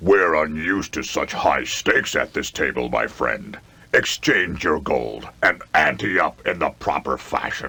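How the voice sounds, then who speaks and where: A man uses a cartoonish character voice that is gruff and croaky, with a very deep, low pitch and a fairly slow pace. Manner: smug, gruff.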